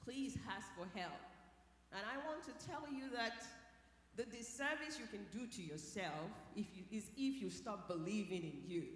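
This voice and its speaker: A woman with a Nigerian accent and very wide pitch swings, in a room with audible echo. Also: fairly high pitch for a woman, moderate pace. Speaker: scientist and keynote speaker. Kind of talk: motivational keynote talk. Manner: animated.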